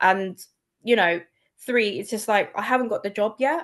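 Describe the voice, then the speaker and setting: In a London accent, a woman speaks at a fairly quick pace with a bright, sharp tone. Her pitch is medium, and the background is quiet. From London, England. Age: 40s. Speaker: copywriter. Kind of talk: casual chat.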